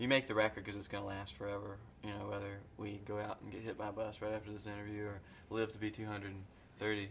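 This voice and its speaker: Delivered at a very fast pace in a Kentucky accent, the speech stays monotone and flat against noticeable background noise. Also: man, fairly low pitch for a man. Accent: Southern US, Kentucky. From Kentucky, US South. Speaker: rock musician. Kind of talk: casual interview. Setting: underground bar.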